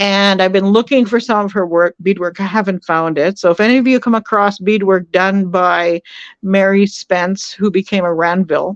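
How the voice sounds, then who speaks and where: A woman with a Canadian prairie accent speaks at a moderate pace and medium pitch, her loudness very even and the sound dry and close with no echo. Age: 60s. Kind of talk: podcast interview. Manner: hesitant with many fillers.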